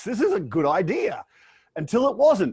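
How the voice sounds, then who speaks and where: The man talks fairly quickly in an Australian accent. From Australia, Brisbane, Queensland. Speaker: business owner and professional speaker. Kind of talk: interview. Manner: hesitant fillers.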